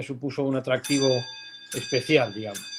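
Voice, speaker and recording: Moderate pace and fairly even intonation from a man with a medium-pitched voice. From Spain, León. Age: 50s. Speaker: philosophy professor. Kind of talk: interview. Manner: thoughtful, hesitant.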